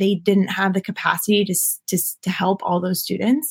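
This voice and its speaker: A woman speaks at a fairly quick pace with a medium pitch. Her voice is somewhat breathy. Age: 20s. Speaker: entrepreneur, founder of a mental wellness care package company. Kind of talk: casual interview.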